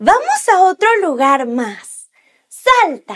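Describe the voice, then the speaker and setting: Extremely high in pitch, this woman's voice swings very widely up and down. She sounds upbeat and enthusiastic against a quiet background. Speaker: preschool teacher. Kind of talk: children's educational talk to camera. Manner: upbeat, enthusiastic. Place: studio.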